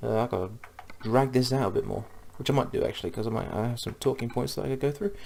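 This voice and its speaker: A man talks at a fairly quick pace, his medium-pitched voice showing ordinary pitch variation. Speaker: gaming podcaster. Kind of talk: casual commentary while gaming. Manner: fast; hesitant, many fillers.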